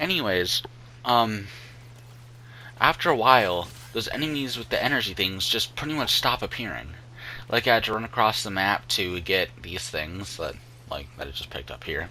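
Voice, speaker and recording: At a moderate pace with long, frequent pauses, a man speaks in a fairly low voice with a bright, sharp tone and vocal fry. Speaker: gaming youtuber. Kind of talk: gameplay commentary. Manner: halting, many fillers.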